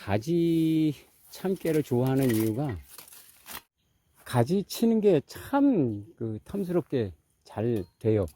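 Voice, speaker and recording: In a dry, close sound with no echo, a man speaks in a dark, mellow tone with lively intonation. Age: 60s. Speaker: farmer. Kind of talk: casual farming vlog. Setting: outdoors in a sesame field. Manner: casual, conversational.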